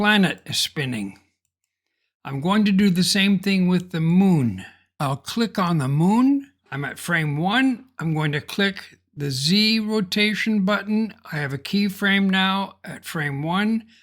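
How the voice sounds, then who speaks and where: A man's high voice at a very slow pace, lively intonation, in a very clean recording with a silent background. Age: 70s. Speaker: software tutorial creator. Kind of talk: tutorial.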